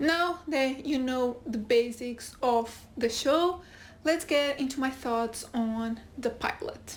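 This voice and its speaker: A woman with a Portuguese accent speaks at a very slow pace in a high voice, her pitch varying in an ordinary way. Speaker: YouTube TV reviewer. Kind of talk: casual video review.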